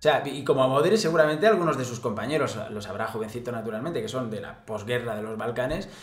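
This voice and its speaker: Amid audible room echo, a man speaks very fast in an animated tone with lively intonation and hardly any pauses. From Spain. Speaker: football commentator youtuber. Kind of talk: casual commentary to camera, sports news. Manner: animated, sarcastic, informal. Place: home room.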